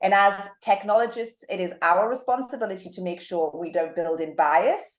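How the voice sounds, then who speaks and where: Speaking with a British accent, a woman talks at a moderate pace in a medium pitch with ordinary pitch variation. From UK. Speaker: marketing executive. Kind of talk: interview.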